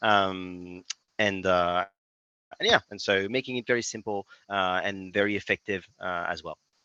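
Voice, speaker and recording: Fairly low in pitch, a man speaks with a French accent and a bright, sharp tone. His intonation is monotone and flat at a moderate pace, in a dry, close sound with no echo. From France. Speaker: tech startup CEO. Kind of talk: podcast interview. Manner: hesitant, many fillers.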